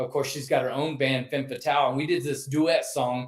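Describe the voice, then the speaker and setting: A man with a Texas accent, a fairly high pitch and ordinary pitch variation. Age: 60s. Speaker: metal vocalist. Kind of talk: interview.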